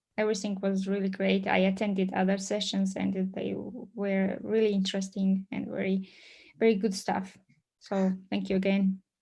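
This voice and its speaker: A woman speaks at a moderate pace in a medium-pitched voice. Her tone is dark, mellow and somewhat breathy, with monotone, flat intonation. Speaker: database administrator. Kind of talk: technical presentation.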